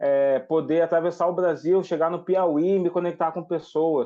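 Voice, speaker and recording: Delivered at a moderate pace, the speech keeps a monotone, flat intonation. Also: man. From Brazil, Cruzeiro (São Paulo–Minas Gerais border). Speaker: writer and activist. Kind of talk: TV interview.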